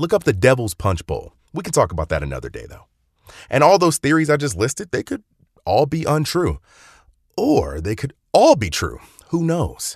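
At a moderate pace, a man talks in an animated tone with an American accent and big swings in loudness. The sound is dry and close with no echo, and the background is quiet. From North Carolina. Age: 20s. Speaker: history podcaster. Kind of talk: scripted narration.

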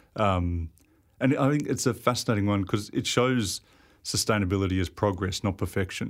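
A man with a fairly low pitch speaks at a moderate pace with ordinary pitch variation and very even loudness. The recording is very clean, with a silent background. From Sydney, Australia. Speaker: industrial designer. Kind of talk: casual interview. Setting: studio.

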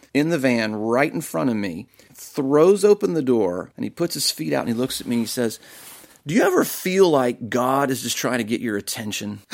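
Medium in pitch with lively intonation, a man speaks at a moderate pace in an ordinary speaking voice. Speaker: pastor. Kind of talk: testimony.

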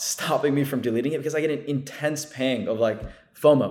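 This man has a normal speaking voice with fairly high pitch. He talks at a fairly quick pace. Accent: American. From New Jersey. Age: 20s. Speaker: content creator. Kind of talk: casual chat.

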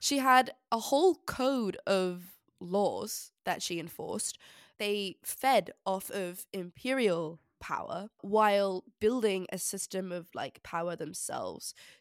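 The recording is very clean, with a silent background and dry, close sound with no echo. A woman speaks very slowly at a medium pitch with ordinary pitch variation. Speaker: podcast co-host, history student. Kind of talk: casual chat; scripted show outro.

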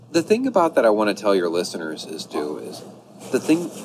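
There is noticeable noise in the background. The talking goes at a moderate speed. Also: man. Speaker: hiker. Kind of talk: casual chat. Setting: on location.

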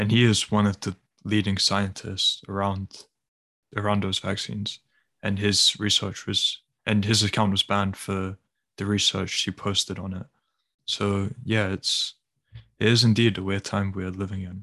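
A man speaks in a monotone, flat intonation at a fairly low pitch and a fairly slow pace, with long, frequent pauses, a dry, close sound with no echo and a quiet background. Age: 20s. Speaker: podcast co-host. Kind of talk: casual chat.

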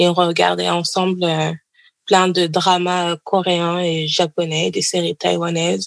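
The voice is delivered at a fairly slow pace with monotone, flat intonation and a dry, close sound with no echo. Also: woman. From Paris suburbs, France. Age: 20s. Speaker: doctoral student. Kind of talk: interview.

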